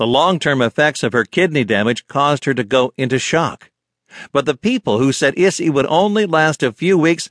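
An unremarkable speaking voice moves at a moderate pace with lively intonation. The sound is dry and close, with no echo. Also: man. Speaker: audiobook narrator. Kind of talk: audiobook narration. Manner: measured, formal, earnest.

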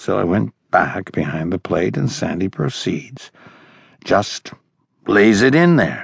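Very wide pitch swings and vocal fry mark this man's very slow speech, recorded with a dry, close sound and no echo. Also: fairly low pitch for a man. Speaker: audiobook narrator. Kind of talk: audiobook narration voicing an old catcher's first-person baseball reminiscence. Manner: storytelling, conversational anecdote pacing with quoted dialogue.

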